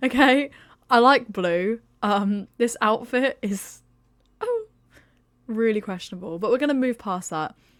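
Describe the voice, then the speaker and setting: A woman with a British accent speaks at a fairly slow pace in a fairly high pitch, with an animated tone, ordinary pitch variation and long, frequent pauses, on a very clean recording with a silent background. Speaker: gaming YouTuber. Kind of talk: casual vlog review.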